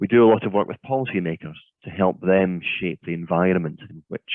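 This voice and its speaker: Here is a man with a Scottish accent and a very deep, low voice. His pitch varies in an ordinary way. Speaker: offshore wind consultant. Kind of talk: keynote presentation. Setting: video call webinar.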